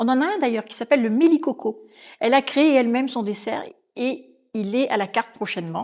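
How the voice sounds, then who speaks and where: Her tone is animated, with lively intonation and a high pitch. This woman's loudness swings widely. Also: fairly quick pace. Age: 60s. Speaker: restaurant manager. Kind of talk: podcast interview.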